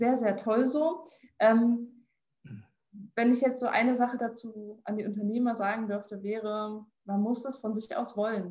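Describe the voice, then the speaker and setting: A woman with a plain, everyday voice, fairly high in pitch, at a moderate pace. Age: 20s. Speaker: health management entrepreneur. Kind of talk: interview.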